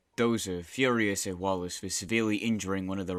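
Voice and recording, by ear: Natural-voiced reading aloud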